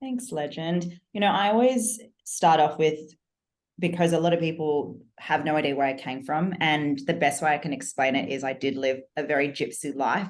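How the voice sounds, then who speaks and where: With an Australian accent, this woman has a very deep, low pitch, lively intonation and a moderate pace. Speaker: business coach. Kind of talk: podcast interview.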